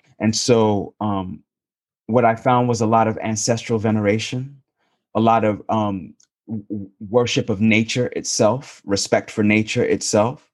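Over a quiet background, a man with an American accent uses an ordinary speaking voice, talking fairly slowly with fairly even intonation. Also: medium pitch for a man. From New York City. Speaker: novelist. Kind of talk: interview.

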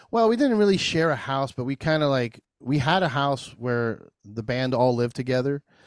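A man with an American accent has an unremarkable speaking voice at a medium pitch. He talks at a moderate pace with lively intonation and hardly any pauses. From New Jersey. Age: 40s. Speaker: craft beer brewer and podcast host. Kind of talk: casual chat. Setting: video call.

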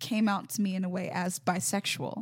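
A woman with an American accent speaks at medium pitch in a somewhat breathy voice, recorded very cleanly against a silent background. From US South, Mobile, Alabama. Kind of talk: casual interview. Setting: parish.

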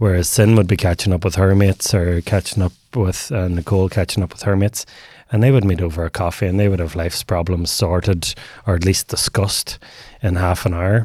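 A man with a Northern Irish accent talks at a fairly quick pace in a very deep, low pitch. His tone is dark, mellow and somewhat breathy, with fairly even intonation. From Northern Ireland. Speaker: men's mental health advocate. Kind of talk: casual interview.

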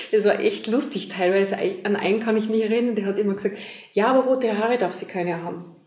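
A woman with an Austrian accent talks very fast at a fairly high pitch, her intonation fairly even. Audible room echo and noticeable background noise are present. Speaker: relationship coach. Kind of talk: interview.

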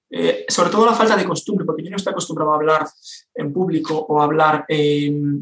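A man speaks at a fairly quick pace, his pitch fairly high and his pitch variation ordinary. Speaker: copywriter and entrepreneur. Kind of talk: interview. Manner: fast.

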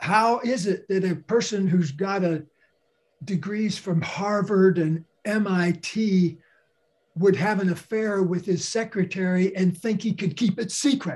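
Fairly even intonation at a very slow pace against a quiet background. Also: man, high pitch for a man. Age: 70s. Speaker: author and speaker. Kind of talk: interview.

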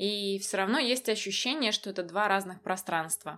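Here is an ordinary speaking voice at a moderate pace. The recording is very clean, with a silent background. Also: woman. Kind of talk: casual chat.

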